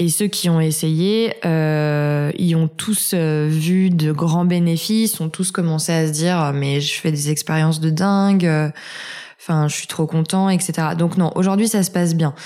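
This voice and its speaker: A woman's dark, mellow voice, fairly low in pitch, at a fairly slow pace. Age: 20s. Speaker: author on natural health and Crohn's disease. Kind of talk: interview. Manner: hesitant, many fillers.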